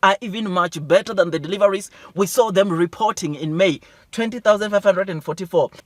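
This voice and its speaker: A loud, high-pitched man's voice with an animated tone at a fairly quick pace, ordinary pitch variation and a dry, close sound with no echo. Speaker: stock market YouTuber. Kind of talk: investment news commentary.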